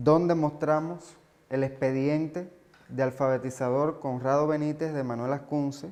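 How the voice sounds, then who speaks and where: His intonation is monotone and flat. This man speaks with fairly high pitch. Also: fairly slow pace. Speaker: museum guide. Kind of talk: guided tour explanation.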